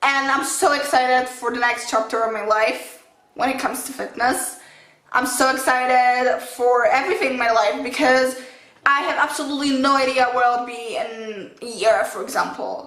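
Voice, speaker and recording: With a non-native accent, a woman speaks at a moderate pace in a high voice with fairly even intonation, amid audible room echo and noticeable background noise. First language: not English. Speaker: fitness vlogger. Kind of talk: casual vlog talk to camera. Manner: halting, with self-corrections.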